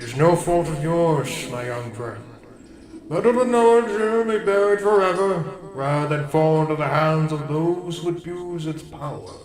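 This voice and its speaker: A man puts on a high-pitched character voice with lively intonation at a moderate pace. Light background noise and a slight echo are present. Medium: read story. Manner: solemn, formal.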